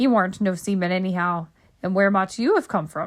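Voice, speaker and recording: In a put-on character voice, a female-sounding speaker sounds gruff at a moderate pace and middle pitch, on a very clean recording with a silent background. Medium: read story. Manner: sly, gruff.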